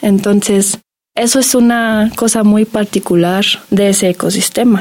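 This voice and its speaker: In a German accent, a woman with a dark, mellow tone speaks fairly slowly at a fairly high pitch, her intonation fairly even. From Germany. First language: German (speaking Spanish). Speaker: graduate student in biology. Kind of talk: radio interview.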